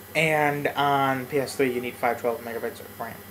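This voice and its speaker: Noticeable background noise sits behind a man whose voice is fairly high in pitch. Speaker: gaming YouTuber. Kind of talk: let's play commentary. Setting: home apartment. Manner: quiet, low volume; rambling with fillers.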